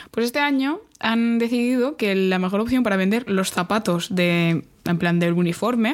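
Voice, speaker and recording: Lively intonation marks this woman's speech. Her voice sits fairly high. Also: moderate pace, very even loudness. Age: young. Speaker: podcast co-host. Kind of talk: casual chat. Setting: studio, recording in person.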